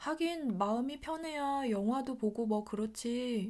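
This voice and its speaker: Speaking very slowly, a woman uses a fairly high pitch, ordinary pitch variation and a dark, mellow tone. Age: 40s. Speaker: vlogger, former call center agent. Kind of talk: personal vlog monologue.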